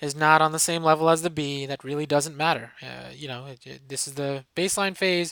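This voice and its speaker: Speech moves at a fairly quick pace in a very clean recording with a silent background. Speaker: professor. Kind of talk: tutorial. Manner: fast.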